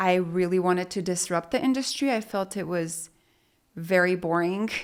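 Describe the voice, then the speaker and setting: A woman with a Spanish accent is heard in a very clean recording with a silent background. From Mexico, moved to Utah at eleven. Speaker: business owner. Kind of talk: interview conversation.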